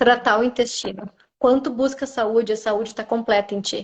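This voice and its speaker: The delivery uses monotone, flat intonation. The pace is moderate. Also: woman. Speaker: orthomolecular nutritionist. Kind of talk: live-stream interview.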